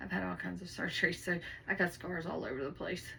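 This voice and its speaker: With noticeable background noise and audible room echo around her, a woman is speaking. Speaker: mock patient. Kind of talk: casual answers in role-play.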